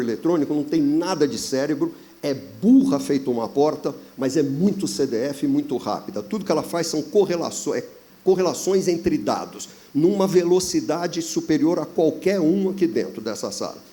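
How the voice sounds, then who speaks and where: This man's voice is high-pitched and moves at a moderate pace. The pitch rises and falls very widely. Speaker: business consultant. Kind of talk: panel discussion.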